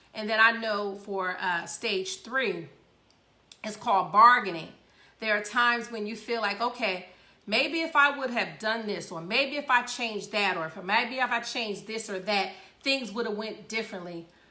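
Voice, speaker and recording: Audible room echo surrounds a woman speaking at a moderate pace and a fairly high pitch, with ordinary pitch variation. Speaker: radio show host. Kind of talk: casual talk show monologue.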